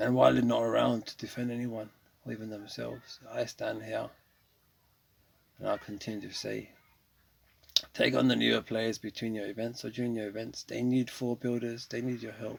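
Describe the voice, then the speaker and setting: Long, frequent pauses break up a man's fairly quick speech in a British accent. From England. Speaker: gaming streamer. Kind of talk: casual gameplay commentary with monologue.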